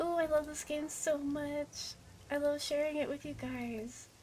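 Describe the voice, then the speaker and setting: Noticeable background noise accompanies a woman who is soft-spoken. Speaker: VTuber gaming streamer. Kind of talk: casual live-stream chat while gaming. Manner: soft-spoken, naturally quiet voice.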